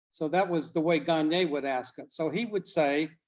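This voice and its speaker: A man's high-pitched voice with an American accent, at a moderate pace with ordinary pitch variation. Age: 70s. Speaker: professor, doctoral program director. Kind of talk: guest lecture on a class video call. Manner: informal, conversational.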